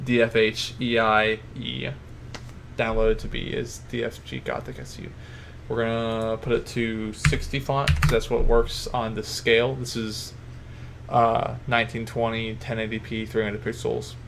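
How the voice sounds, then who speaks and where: Speech moves at a moderate pace against noticeable background noise. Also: man. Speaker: video editing tutorial maker. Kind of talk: tutorial. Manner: casual, self-correcting.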